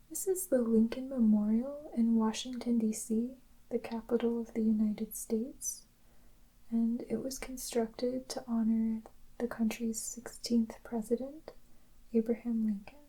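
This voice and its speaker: Soft-spoken and calm in tone, the voice moves at a fairly slow pace. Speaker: ASMR creator. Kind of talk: soft-spoken descriptive narration. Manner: slow, calm.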